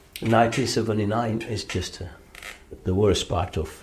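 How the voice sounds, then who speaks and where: A man speaks with an Ethiopian accent and vocal fry. His pace is moderate. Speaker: former asylum seeker, charity general manager. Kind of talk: interview testimony. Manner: halting, many fillers.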